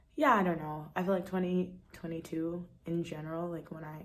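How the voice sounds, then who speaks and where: Amid audible room echo, a woman with a fairly low pitch speaks at a moderate pace in a somewhat breathy, monotone, flat way. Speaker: vlogger. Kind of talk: casual vlog talk. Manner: hesitant, many fillers.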